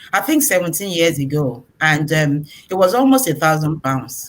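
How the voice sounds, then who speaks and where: A moderate pace with a Nigerian accent. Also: woman. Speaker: IT professional. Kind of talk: testimony.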